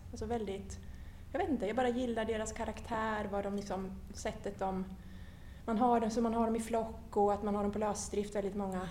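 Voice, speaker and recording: The speaker's intonation stays fairly even. Noticeable background noise and audible room echo come through. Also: woman. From Sweden, Linköping. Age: 50s. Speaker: horse association chair and HR manager. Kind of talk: casual interview. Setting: parliament building.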